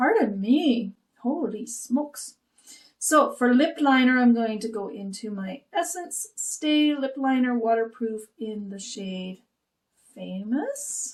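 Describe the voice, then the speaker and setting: Her intonation is lively and her pitch high as this woman speaks at a very slow pace. Her loudness swings widely. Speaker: beauty vlogger. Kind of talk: makeup tutorial. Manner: casual, chatty.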